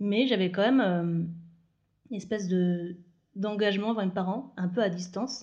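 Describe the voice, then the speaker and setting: Speaking at a moderate pace, a woman uses a dark, mellow tone at a medium pitch. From France, Moselle (Lorraine, north-east). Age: 30s. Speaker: podcast guest sharing personal story. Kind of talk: personal interview conversation.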